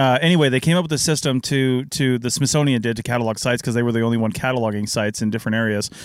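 With an American accent, a man talks at a very fast pace with hardly any pauses, using a medium pitch, ordinary pitch variation and very even loudness on a very clean recording with a silent background. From Washington State, US. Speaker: podcast host, archaeologist. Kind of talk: interview. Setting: RV at a campground.

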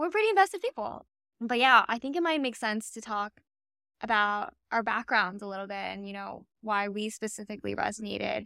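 Fairly quick and fairly high-pitched, a woman's bright, sharp voice shows ordinary pitch variation and big swings in loudness, with a dry, close sound and no echo. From Miami, Florida. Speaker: podcast host, former investment banker. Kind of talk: casual chat.

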